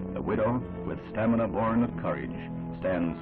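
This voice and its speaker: A man's solemn, dramatic tone with lively intonation, over music in the background. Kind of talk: 1960s newsreel narration. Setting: vintage newsreel recording. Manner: solemn, dramatic, grave.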